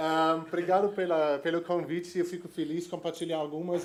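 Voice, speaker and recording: Amid audible room echo, a man speaks at a moderate pace in a fairly high pitch. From Germany. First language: German (speaking Portuguese). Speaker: innovation executive. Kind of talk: conference talk. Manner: halting, many fillers.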